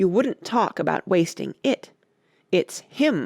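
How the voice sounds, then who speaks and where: In a put-on character voice, the raspy speech moves at a fairly slow pace with a middle pitch. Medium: read story. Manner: whimsical, abrupt.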